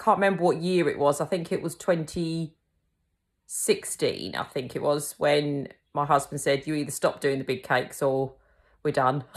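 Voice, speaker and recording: A woman in a Kent accent, very deep and low in pitch, at a moderate pace with ordinary pitch variation, on a very clean recording with a silent background. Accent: Kentish. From England, Kent (Tenterden). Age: 40s. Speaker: cake decorating teacher and small business owner. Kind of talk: casual personal introduction. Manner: casual, many fillers (um).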